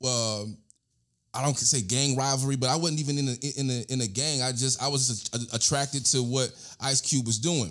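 In a very clean recording with a silent background, a man with an American accent speaks in a plain, everyday voice at medium pitch, with fairly even intonation and a moderate pace. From Alabama, then Albany, New York. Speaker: podcast host. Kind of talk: casual interview chat.

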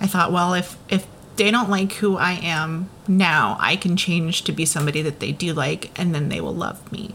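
With noticeable background noise, a woman speaks at a moderate pace. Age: 30s. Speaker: podcast host. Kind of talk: personal monologue. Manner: hesitant, many fillers.

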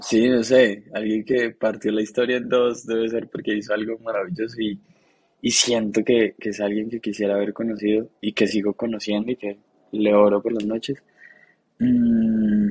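Flat, monotone intonation marks this man's speech, delivered at a moderate pace. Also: medium pitch for a man. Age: 20s. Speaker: podcast co-host. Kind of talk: casual chat.

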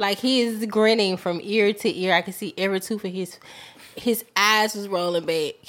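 An ordinary speaking voice with fairly even intonation and a moderate pace. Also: woman. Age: 40s. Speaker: podcast guest. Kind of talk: casual chat.

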